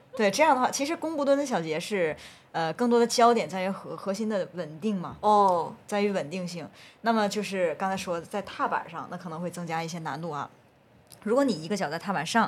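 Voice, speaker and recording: A plain, everyday voice speaks at a fairly quick pace with lively intonation and big swings in loudness, on a very clean recording with a silent background. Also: woman. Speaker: researcher and group fitness instructor. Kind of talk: casual podcast interview.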